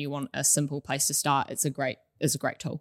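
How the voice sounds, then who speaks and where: A woman with a New Zealand accent, very deep and low in pitch, at a fairly quick pace, in a very clean recording with a silent background. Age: 20s. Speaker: accounting manager. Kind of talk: casual chat.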